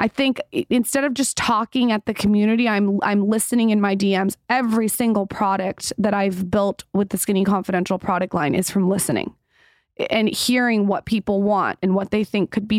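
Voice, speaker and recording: With a normal speaking voice at medium pitch, a woman talks at a fairly quick pace and keeps her loudness very even. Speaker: podcast host and content creator. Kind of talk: casual interview conversation.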